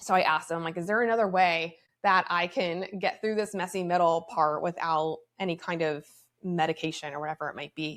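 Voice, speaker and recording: Fairly quick in pace and fairly even in intonation, a plain, everyday voice carries the speech. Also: woman, fairly low pitch for a woman. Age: 30s. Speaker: podcast host and motivational speaker. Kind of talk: casual personal monologue. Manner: conversational with many fillers.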